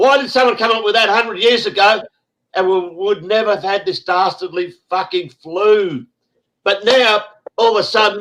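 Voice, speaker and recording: This man has a high pitch and a bright, sharp tone, with an Australian accent. His raised, projected voice moves at a moderate pace. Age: 60s. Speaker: online show host. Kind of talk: casual group chat on a live stream. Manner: animated.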